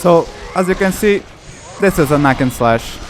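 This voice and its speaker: A man talks at a fairly slow pace in a Portuguese accent, his pitch swinging very widely. Noticeable background noise is present. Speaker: gaming YouTuber. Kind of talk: let's play commentary. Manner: halting, self-correcting.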